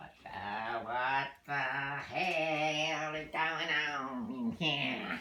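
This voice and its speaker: A man's put-on character voice, fairly high in pitch, with ordinary pitch variation, big swings in loudness and a very slow pace. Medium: short film. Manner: shouting, bullying.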